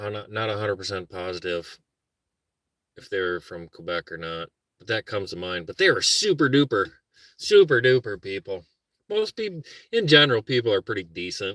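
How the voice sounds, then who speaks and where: A man with a Minnesotan accent talks in a relaxed yet bright, sharp tone, with lively intonation. His loudness swings widely, and he takes long, frequent pauses. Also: fairly quick pace, dry, close sound with no echo, very clean recording, silent background. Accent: Minnesota. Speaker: vlogger, car camper. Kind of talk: casual livestream chat. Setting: car camping, morning. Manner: relaxed, rambling.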